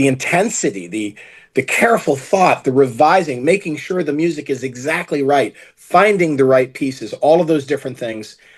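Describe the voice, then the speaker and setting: An ordinary speaking voice from a man with an American accent, fairly quick and with lively intonation, over a quiet background. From United States. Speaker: film producer. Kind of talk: interview.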